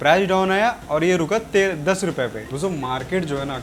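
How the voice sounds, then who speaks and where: This male speaker's voice sits high. He talks at a moderate tempo with ordinary variation in pitch. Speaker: trading educator. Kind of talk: tutorial. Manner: casual, repetitive explaining.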